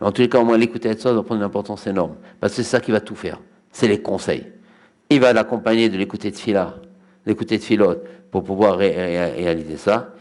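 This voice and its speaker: A man at a very fast pace with fairly low pitch, ordinary pitch variation and long, frequent pauses, very clean recording with a silent background. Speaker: rabbi giving Torah lecture. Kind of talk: religious lecture. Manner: halting, repeats words.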